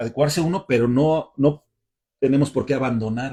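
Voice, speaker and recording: A man's somewhat breathy voice keeps a moderate pace and fairly even intonation. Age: 60s. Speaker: caving and mountaineering instructor. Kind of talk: casual panel chat. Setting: livestream from club storeroom.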